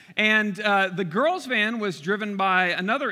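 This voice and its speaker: A man raises and projects his voice, high-pitched with a bright, sharp tone and ordinary pitch variation. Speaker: pastor. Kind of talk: sermon. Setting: church. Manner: loud.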